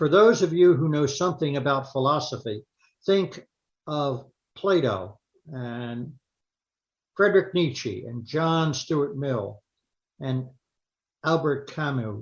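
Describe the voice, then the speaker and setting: A man speaks at a very slow pace with long, frequent pauses. His voice is fairly high and somewhat breathy, with lively intonation. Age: 80s+. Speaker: retired psychologist. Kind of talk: lay sermon talk.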